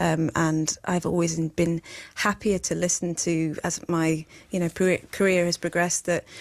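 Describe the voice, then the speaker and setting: A woman's fairly low voice with a Yorkshire accent, monotone and flat in intonation, at a fairly slow pace. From Sheffield, northern England. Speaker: singer-songwriter. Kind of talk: radio interview. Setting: radio studio. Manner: halting.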